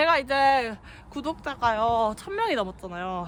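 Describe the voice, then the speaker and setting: A woman's voice with very wide pitch swings. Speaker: hiking vlogger. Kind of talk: casual vlog narration while hiking. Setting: outdoors on a mountain trail.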